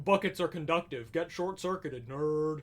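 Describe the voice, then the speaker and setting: A man uses a put-on character voice pitched high. He keeps a moderate pace. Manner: sassy.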